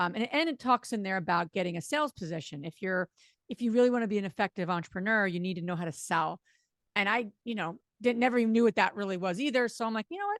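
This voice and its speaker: A woman's very fast, medium-pitched speech with lively intonation and a slight New Jersey accent, dry and close with no echo, on a very clean recording with a silent background. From New Jersey, US. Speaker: real estate investor. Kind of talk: podcast interview.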